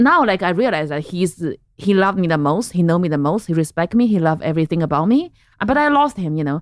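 A woman with a Chinese accent speaks at a very fast pace, fairly low in pitch and with lively intonation, over a quiet background. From central China. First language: Mandarin Chinese. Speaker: comedian. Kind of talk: casual chat.

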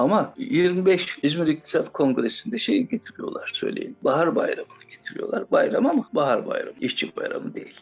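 With hardly any pauses, the speaker keeps a moderate pace over noticeable background noise. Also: man. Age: 70s. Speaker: cartoonist. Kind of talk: interview. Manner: halting.

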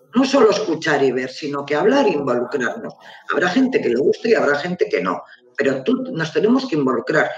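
A man talks at a fairly quick pace in a fairly high voice, his pitch swinging very widely. Noticeable background noise runs underneath. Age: 50s. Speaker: real estate agency co-manager. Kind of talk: casual live interview. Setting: live online video stream.

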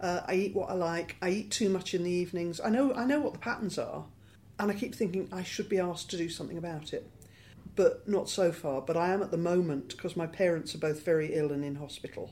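Speaking very fast, a woman has a British accent. Her fairly low voice carries a dark, mellow tone. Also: ordinary pitch variation. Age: 60s. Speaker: LGBT rights campaigner. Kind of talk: interview.

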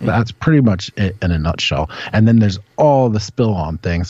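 With an American accent, a man talks at a fairly quick pace, somewhat breathy, with ordinary pitch variation. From Washington, D.C. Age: 40s. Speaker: independent journalist. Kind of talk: casual chat.

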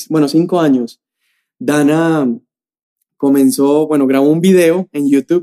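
In a dry, close sound with no echo, a man with a fairly high pitch and a dark, mellow tone speaks at a fairly slow pace with ordinary pitch variation. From Colombia, Medellín. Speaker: youth pastor, podcast co-host. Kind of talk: casual chat; sermon-like teaching.

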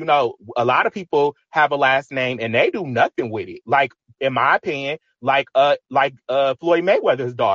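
At a moderate pace, a man talks in a normal speaking voice with a fairly high pitch and ordinary pitch variation. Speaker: caller. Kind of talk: casual call-in discussion. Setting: online audio room.

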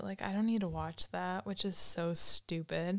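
A woman with an unremarkable speaking voice talks at a moderate pace, her pitch medium for a woman. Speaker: college student. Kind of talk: casual chat. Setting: studio.

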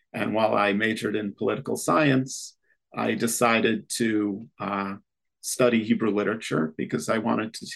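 A man with an upstate New York accent speaks at a moderate pace with fairly low pitch and vocal fry. His intonation stays fairly even. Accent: American, upstate New York. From US Northeast (Rochester, New York). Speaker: literature professor. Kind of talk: interview. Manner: hesitant with frequent fillers.

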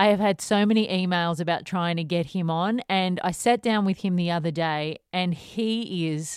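A woman at a fairly slow pace, fairly even in intonation, with a dry, close sound free of echo and a very clean recording against a silent background. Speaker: podcast host. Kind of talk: podcast outro.

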